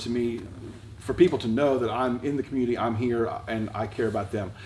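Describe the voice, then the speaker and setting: A man speaks at a moderate pace with a medium pitch. There is audible room echo and noticeable background noise. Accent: American. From Delaware, US. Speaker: high school principal and preacher. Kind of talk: casual interview. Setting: church.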